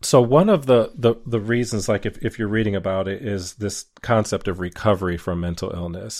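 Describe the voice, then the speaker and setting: An ordinary speaking voice at a fairly quick pace, with ordinary pitch variation, on a very clean recording with a silent background. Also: man. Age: 40s. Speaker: podcast host. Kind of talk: interview.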